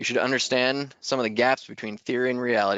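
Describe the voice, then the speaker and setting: Ordinary pitch variation marks a man's medium-pitched voice as he speaks at a very fast pace. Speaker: engineering webinar presenter. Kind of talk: technical webinar presentation. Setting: online webinar. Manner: hesitant, many fillers.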